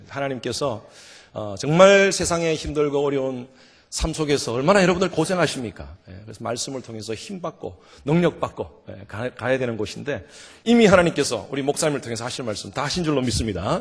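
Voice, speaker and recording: A man at a fairly quick pace, with a fairly high pitch, very wide pitch swings and big swings in loudness. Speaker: revival guest preacher. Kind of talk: sermon. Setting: church. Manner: animated.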